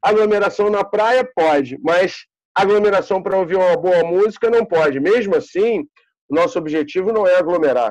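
A speaker with a Carioca accent talks at a moderate pace with ordinary pitch variation. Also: man, high pitch for a man. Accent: carioca Brazilian Portuguese. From Rio de Janeiro, Brazil. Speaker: bar and music venue owner. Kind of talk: casual interview chat.

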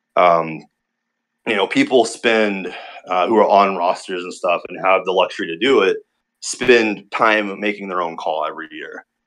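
The speaker moves at a moderate pace, with big swings in loudness. The background is quiet. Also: man. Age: 30s. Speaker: online wrestling video creator. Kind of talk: casual chat. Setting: online call.

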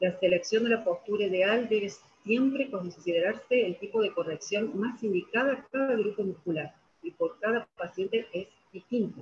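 In a Rioplatense accent, a woman talks at a moderate pace. Her pitch is medium, with ordinary variation. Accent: Argentine Spanish (rioplatense, voseo). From Argentina. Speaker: physiotherapist and lecturer. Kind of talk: presentation with slides. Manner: halting, many fillers.

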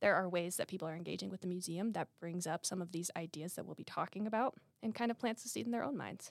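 In a dry, close recording with no echo, a woman with an American accent speaks in a plain, everyday voice at medium pitch with ordinary pitch variation. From southern Utah. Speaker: museum visitor experience coordinator. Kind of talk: interview. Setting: studio.

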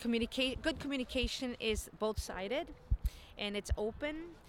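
This woman has an ordinary speaking voice. Her pitch sits fairly high. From Chicago, US Midwest. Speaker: communications graduate. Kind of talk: casual interview.

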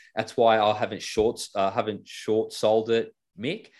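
The background here is quiet. A man talks with an Australian accent. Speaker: financial business co-founder and property investor. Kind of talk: casual interview chat.

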